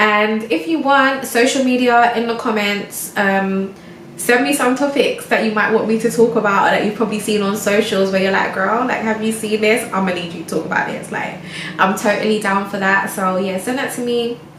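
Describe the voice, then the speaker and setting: A woman speaks at a fairly high pitch and a moderate pace with ordinary pitch variation. Room echo and background noise are both noticeable. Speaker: lifestyle vlogger. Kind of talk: casual chat monologue. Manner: stumbling over words; relaxed.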